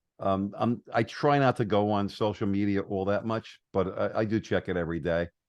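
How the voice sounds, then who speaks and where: A normal speaking voice from a man, fairly low in pitch with ordinary pitch variation, dry and close with no echo against a quiet background. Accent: American. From New York. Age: 60s. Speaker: entrepreneur and marketer. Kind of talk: podcast interview.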